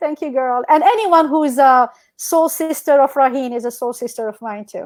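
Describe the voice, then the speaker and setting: A woman's animated, high-pitched voice with a North African accent, a moderate pace, ordinary pitch variation and big swings in loudness, on a very clean recording with a silent background. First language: Berber. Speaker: entrepreneur and educator. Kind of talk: casual chat.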